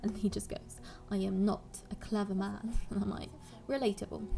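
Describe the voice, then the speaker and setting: A woman talks at a medium pitch while music sounds in the background. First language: Polish. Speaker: gaming YouTuber. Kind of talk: gameplay voiceover commentary. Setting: recorded at home, voiceover. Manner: casual, rambling.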